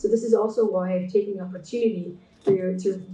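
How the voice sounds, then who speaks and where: The voice has a dark, mellow tone and is somewhat breathy. It moves at a moderate pace with audible room echo. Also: woman. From Canada. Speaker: textile artist and designer. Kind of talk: keynote presentation. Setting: online conference talk. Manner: hesitant, many fillers.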